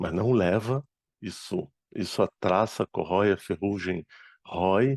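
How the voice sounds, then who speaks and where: Very slow and lively in intonation, a man with a dark, mellow tone speaks in a dry, close sound with no echo over a quiet background. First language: Arabic (speaking Portuguese). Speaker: spiritist speaker and medium. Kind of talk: lecture.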